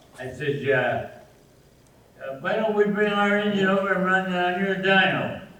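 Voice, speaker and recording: A man's voice against noticeable background noise. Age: 80s+. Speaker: camshaft engine builder. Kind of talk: storytelling to a live audience.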